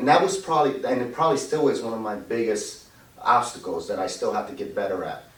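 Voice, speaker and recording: The voice races at a very fast pace. Audible room echo and noticeable background noise surround it. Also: man. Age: 50s. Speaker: loan officer. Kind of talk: interview. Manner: halting.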